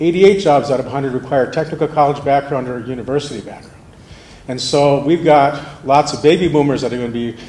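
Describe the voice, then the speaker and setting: A man speaks very fast in a fairly high voice with fairly even intonation, with audible room echo and noticeable background noise. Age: 60s. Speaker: manufacturing company manager speaking at public forum. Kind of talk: public forum speech. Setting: school auditorium.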